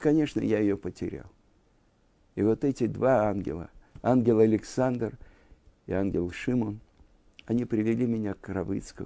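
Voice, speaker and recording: A man with a medium pitch and a dark, mellow tone talks at a moderate pace with ordinary pitch variation and long, frequent pauses. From Russia, Moscow. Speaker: religious teacher. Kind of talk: lecture.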